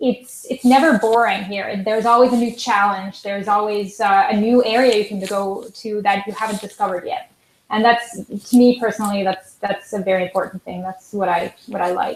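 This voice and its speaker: In a Swiss German accent, a woman talks at a fairly quick pace with a fairly high pitch and fairly even intonation. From Switzerland. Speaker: concert pianist. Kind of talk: interview. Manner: halting.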